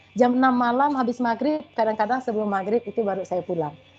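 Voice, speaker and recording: A high-pitched woman at a very fast pace, ordinary pitch variation, noticeable background noise. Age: 40s. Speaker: school principal. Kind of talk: webinar talk. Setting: video call.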